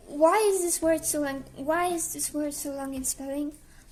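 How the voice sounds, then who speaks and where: A woman talks at a moderate pace with a Slavic accent. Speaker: YouTuber, commentary creator. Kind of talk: scripted commentary video. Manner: casual, hesitant.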